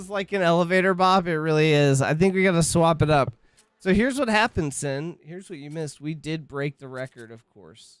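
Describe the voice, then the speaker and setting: This man talks fairly quickly in a high voice, with ordinary pitch variation and big swings in loudness. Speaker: gaming streamer. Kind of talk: live stream commentary. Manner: animated.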